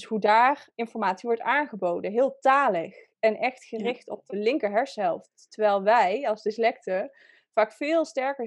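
A woman has a plain, everyday voice with a fairly high pitch and ordinary pitch variation. She talks at a moderate pace over a quiet background. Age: 30s. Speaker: dyslexia coach. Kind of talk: interview. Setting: video call.

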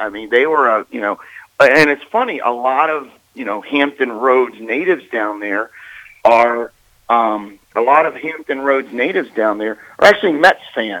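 With lively intonation, a man with an American accent speaks in a plain, everyday voice at medium pitch and a moderate pace. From Maryland. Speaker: sports broadcaster. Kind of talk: interview. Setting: phone call.

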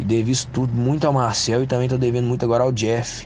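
A man talking at a very fast pace amid noticeable background noise and audible room echo. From Brazil, Minas Gerais. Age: 20s. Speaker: viewer giving a testimonial. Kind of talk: testimony. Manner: casual slangy.

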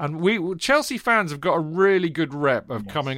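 This is a man speaking. He has a British accent. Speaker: football podcast host. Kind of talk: casual chat. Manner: animated.

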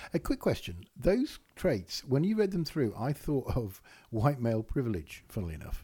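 Somewhat breathy and dark, mellow in tone, a man speaks at a moderate pace with a medium pitch and very wide pitch swings. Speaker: business consultant and comedian. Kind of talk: casual chat.

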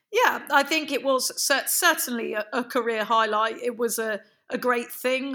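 A woman with a southern English accent talks at a moderate pace. Her voice is high, bright and sharp, with fairly even intonation. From London. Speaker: dressage rider and trainer. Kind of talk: interview.

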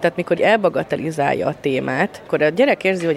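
Fairly quick speech with noticeable background noise. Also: woman. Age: 30s. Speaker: trainee primary school teacher. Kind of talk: interview.

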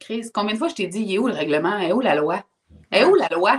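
This woman's pitch varies in an ordinary way while she keeps a moderate pace. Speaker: personal development coach. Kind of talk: casual interview chat. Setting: livestream.

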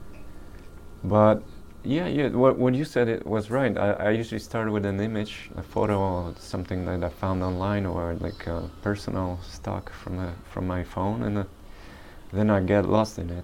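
A man speaks at a moderate pace with a fairly low pitch and ordinary pitch variation. Noticeable background noise can be heard. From rural Poland, later Detroit. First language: Polish. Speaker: painter. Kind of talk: casual interview. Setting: artist's studio.

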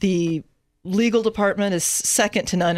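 A woman with an American accent speaks at a moderate pace in an ordinary speaking voice. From San Antonio, Texas. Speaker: attorney in corporate development.

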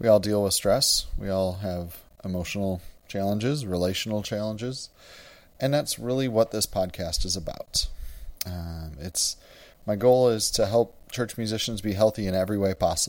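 On a very clean recording with a silent background, a man with an American accent and an unremarkable speaking voice talks at a fairly low pitch and a moderate pace, with ordinary pitch variation. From US Midwest, Wisconsin. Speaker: church music director and podcast host. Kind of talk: solo podcast monologue.

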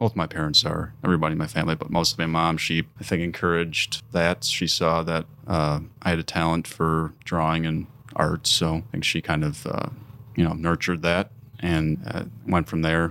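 With an American accent, a man speaks in a very deep, low pitch, his tone bright and sharp and his intonation fairly even. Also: moderate pace. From southeastern Wisconsin (Mequon, near Milwaukee). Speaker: graphic designer and artist. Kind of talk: casual interview. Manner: halting, many fillers.

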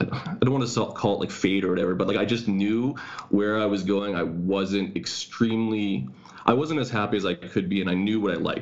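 A man's fairly low voice with a Canadian accent, fairly quick in pace, with ordinary pitch variation and noticeable background noise. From Canada. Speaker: personal trainer, former teacher. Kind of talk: casual interview chat. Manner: fast.

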